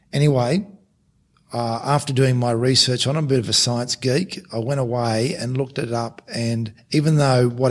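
Here a man speaks with an Australian accent. His pitch is medium. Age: 50s. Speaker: former rugby league coach, podcast co-host. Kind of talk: casual interview conversation.

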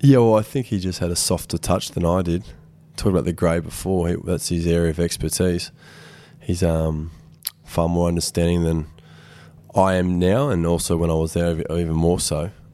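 With an Australian accent, a man with a very deep, low pitch and a dark, mellow tone talks at a fairly quick pace with ordinary pitch variation. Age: 20s. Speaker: football team captain. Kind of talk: interview. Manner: hesitant, many fillers.

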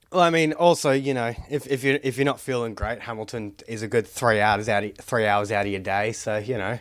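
Speaking at a fairly quick pace with hardly any pauses, a man with an Australian accent uses a medium pitch and ordinary pitch variation. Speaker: podcast host. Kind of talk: casual chat. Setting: video call.

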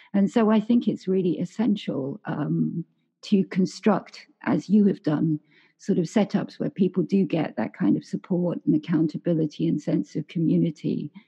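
Lively intonation and vocal fry mark this voice, which moves at a moderate pace. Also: woman, fairly low pitch for a woman. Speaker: podcast host. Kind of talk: interview, conversational. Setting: remote call.

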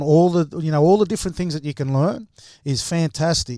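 With an Australian accent, a man speaks at a high pitch in a dark, mellow tone, the sound dry and close with no echo on a very clean recording with a silent background. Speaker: former rugby league player and coach. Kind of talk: panel discussion.

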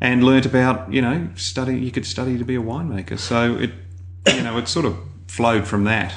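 With an Australian accent, a man talks at a fairly quick pace, his medium pitch showing ordinary variation. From Melbourne, Australia. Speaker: winemaker. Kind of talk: interview.

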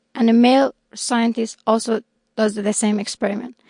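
A woman with an Iranian accent, fairly high-pitched, at a fairly quick pace. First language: Persian. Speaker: scientist. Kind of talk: interview.

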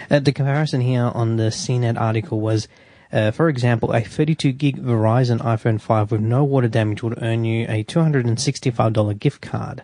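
The voice has a dark, mellow tone and an Australian accent. The background is quiet. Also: man, medium pitch for a man, fairly even intonation, moderate pace. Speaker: radio co-host. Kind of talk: casual radio banter, reading tech news aloud. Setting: radio studio.

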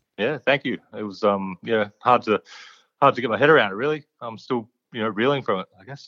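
A man with an Australian accent talks at a fairly quick pace, his medium-pitched voice having a bright, sharp tone and ordinary pitch variation. The sound is dry and close with no echo, over a quiet background. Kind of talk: casual interview chat.

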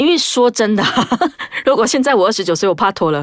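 A woman's voice with lively intonation sounds dry and close, with no echo. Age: 20s. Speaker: podcast host. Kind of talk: casual chat.

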